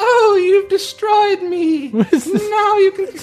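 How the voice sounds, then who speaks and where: Over faint music in the background, a put-on character voice at an extremely high pitch speaks at a very slow pace. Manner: defeated.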